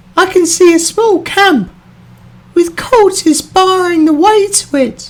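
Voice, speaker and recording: The delivery crawls along at a very slow pace. A put-on character voice carries it, pitched extremely high. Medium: voice reel.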